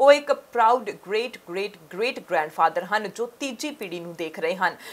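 A fairly high-pitched woman, a plain, everyday voice with lively intonation and big swings in loudness. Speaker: news reporter. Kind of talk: TV news report voice-over.

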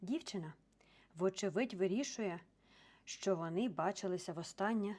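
This is a natural reading voice. It carries ordinary pitch variation.

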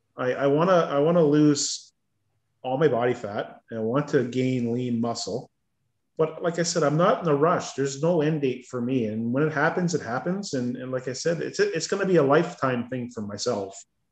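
In a room with audible echo but a quiet background, a man speaks at a moderate pace with ordinary pitch variation. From Ontario, Canada. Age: 50s. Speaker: weight-loss coaching client. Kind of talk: casual interview. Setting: video call. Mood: upbeat, relaxed. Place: home room. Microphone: video call.

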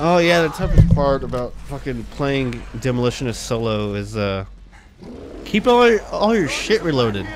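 Noticeable background noise fills the recording. A man talks through it at a moderate pace. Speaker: gamer. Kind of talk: casual gameplay commentary. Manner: casual, rambling, halting.

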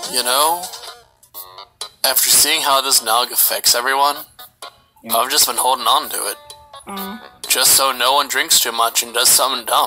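With faint music in the background, a man does a put-on character voice at medium pitch and a moderate pace. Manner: tired, suspicious.

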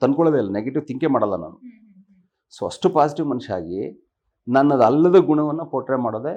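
Against a quiet background, a man speaks at a fairly high pitch with lively intonation and big swings in loudness. His tone is dark and mellow, with vocal fry. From Karnataka, India (Sakleshpur, Hassan district). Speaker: actor. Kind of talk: interview. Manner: clear articulation.

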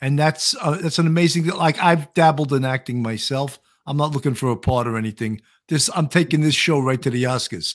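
A man with an American accent, at a fairly quick pace, with ordinary pitch variation over a quiet background. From New York. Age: 60s. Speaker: podcast host and retired police detective. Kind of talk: casual interview chat. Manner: jokey, comedic. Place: home room.

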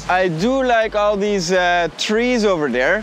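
Light background noise runs under a man's high-pitched voice. The sound is dry with no echo. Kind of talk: casual vlog chat. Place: beach.

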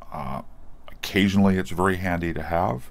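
The speaker is a man. His voice has vocal fry. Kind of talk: tutorial. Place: workshop. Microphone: phone near.

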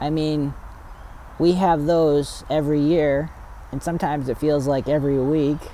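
A man with a fairly high pitch talks at a fairly slow pace with fairly even intonation, the sound dry with no echo and light background noise behind him. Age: 30s. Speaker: Sabbath school discussion leader. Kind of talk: Bible study discussion. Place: forest.

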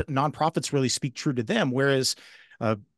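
Against a quiet background, a man speaks at a medium pitch with fairly even intonation and a dry sound with no echo. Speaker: benefit auctioneer. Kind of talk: interview answer. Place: home room. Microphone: studio mic.

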